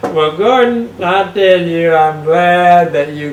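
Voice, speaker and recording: The speaker has an American accent and talks at a very slow pace. Audible room echo and noticeable background noise surround the voice. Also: man. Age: 70s. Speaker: sports show host. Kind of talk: casual interview.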